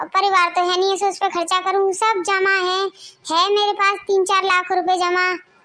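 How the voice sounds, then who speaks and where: A woman performs a cartoonish character voice at an extremely high pitch and a moderate pace. Her intonation is monotone and flat, and her loudness stays very even. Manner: plain, humble.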